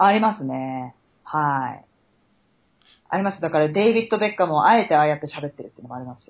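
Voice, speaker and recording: At a very fast pace, a woman speaks in a very deep, low voice with very wide pitch swings and big swings in loudness. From Japan, Chiba. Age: 30s. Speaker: podcast co-host. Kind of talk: casual chat. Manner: animated.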